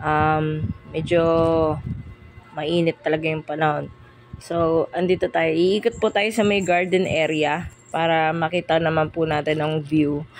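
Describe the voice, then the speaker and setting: Music plays behind a woman whose pitch is very deep and low. She talks at a fairly slow pace with fairly even intonation and very even loudness. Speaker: travel vlogger. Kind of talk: casual vlog narration. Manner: hesitant, filler-heavy.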